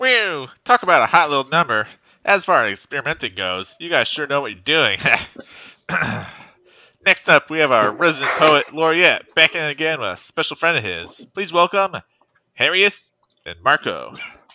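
A man's fairly high, nasal put-on character voice at a moderate pace, broken by long, frequent pauses. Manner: hyped, game-show host style.

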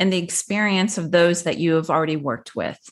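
At a medium pitch and with fairly even intonation, a woman speaks in a normal speaking voice over a quiet background. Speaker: divorce coach. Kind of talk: casual professional conversation.

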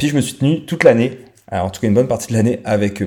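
A man's dark, mellow voice with lively intonation, in a very clean recording with a silent background. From France. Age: 30s. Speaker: podcaster. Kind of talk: solo monologue podcast. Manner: hesitant, many fillers; casual, conversational.

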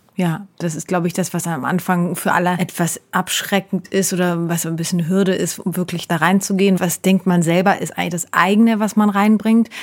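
On a very clean recording with a silent background, a woman talks fairly quickly at medium pitch with hardly any pauses and monotone, flat intonation. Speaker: psychodrama practitioner and podcast co-host. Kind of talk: casual chat.

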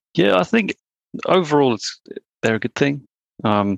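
With an English accent, a man speaks at a medium pitch with lively intonation, and the sound is dry and close with no echo. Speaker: marketing worker. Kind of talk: casual chat.

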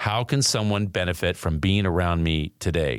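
A man's upbeat voice with vocal fry at a moderate pace, on a very clean recording with a silent background. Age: 60s. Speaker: podcast host and former professional baseball player. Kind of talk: motivational monologue; promo for own merchandise.

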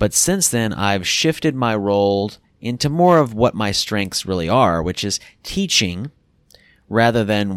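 A man with a plain, everyday voice and a fairly low pitch speaks with lively intonation, recorded very cleanly against a silent background with a dry, close sound and no echo. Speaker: podcast host. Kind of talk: scripted podcast intro and outro.

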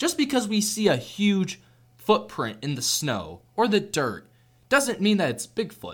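A man with an American accent and a high pitch, with very wide pitch swings at a fairly slow pace. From US Pacific Northwest, Seattle. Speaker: student podcast host. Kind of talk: casual chat. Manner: animated.

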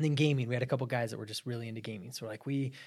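A man with an American accent speaks in an unremarkable speaking voice at a medium pitch. His intonation is fairly even, on a very clean recording with a silent background. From Arizona, US. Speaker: business founder. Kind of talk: casual chat.

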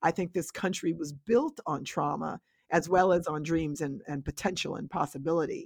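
A woman speaks at a fairly low pitch and a moderate pace, with ordinary pitch variation. It is an ordinary speaking voice, with a dry, close sound and no echo. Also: quiet background. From Westchester County, New York. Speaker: scholar. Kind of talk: interview.

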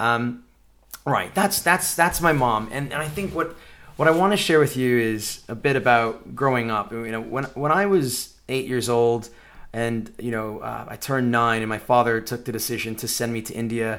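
A man with an American accent talks in a plain, everyday voice at a medium pitch. He keeps a moderate pace with ordinary pitch variation. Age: 40s. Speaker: podcast host. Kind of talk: personal monologue.

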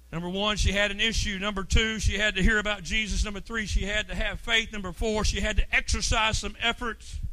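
A man's raised, projected voice, high-pitched and animated, at a fairly quick pace amid noticeable background noise. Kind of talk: sermon, preacher in full flow.

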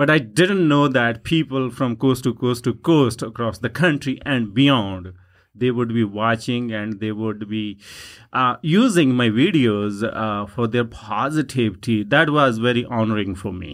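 A man speaks with a Punjabi accent. His pitch is medium and his pace fairly slow. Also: ordinary pitch variation. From Punjab, India. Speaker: dancer and social media personality. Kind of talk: interview. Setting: studio. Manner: warm, enthusiastic.

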